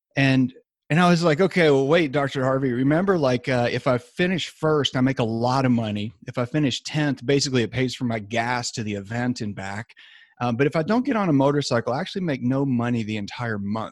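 At a fairly quick pace, a man speaks in a normal speaking voice at medium pitch with ordinary pitch variation. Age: 50s. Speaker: sports medicine doctor. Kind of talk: interview. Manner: casual with fillers.

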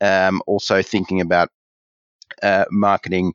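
A man speaks with an Australian accent. His voice is very deep and low, at a moderate pace. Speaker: marketing coach and author. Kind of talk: interview. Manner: halting.

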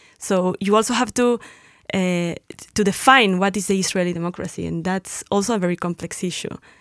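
Speaking fairly quickly with a Mexican accent, a woman keeps a medium pitch and fairly even intonation. The recording is very clean and silent behind her, with a dry, close sound and no echo. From Mexico. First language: Spanish. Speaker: educator and political analyst. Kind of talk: casual panel discussion. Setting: studio.

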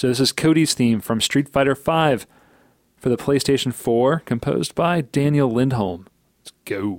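A man talks at a moderate pace in an unremarkable speaking voice, medium in pitch with ordinary variation and big swings in loudness. The recording is very clean with a silent background and a dry, close sound with no echo. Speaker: podcast host. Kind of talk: casual chat.

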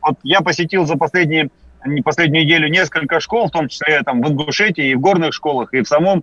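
A man talks fairly quickly at a fairly high pitch, his tone bright and sharp with ordinary pitch variation. The sound is dry and close, with no echo. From Yakutia, Russia. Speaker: deputy education minister. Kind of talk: radio interview. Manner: formal.

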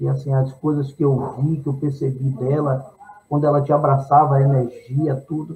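With a Bahian accent, a man speaks at a moderate pace in a fairly high pitch, his intonation flat and monotone and his tone dark and mellow, somewhat breathy. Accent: Bahian Brazilian Portuguese. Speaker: singer-songwriter. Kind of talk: interview.

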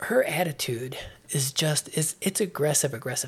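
This voice, in an American accent, is somewhat breathy. The pace is fairly quick, with ordinary pitch variation. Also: man. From US Midwest. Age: 50s.

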